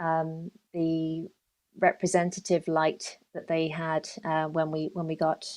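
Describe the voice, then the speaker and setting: A woman with a London accent speaks at a very slow pace in a fairly low voice. Her intonation is monotone and flat. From London, England. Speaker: dark sky park development officer. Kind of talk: podcast interview. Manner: hesitant, many fillers.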